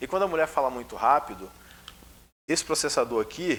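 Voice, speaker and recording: Words come out at a very fast pace with ordinary pitch variation. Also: man. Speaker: spiritist lecturer. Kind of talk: lecture. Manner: controlled pace, usually fast.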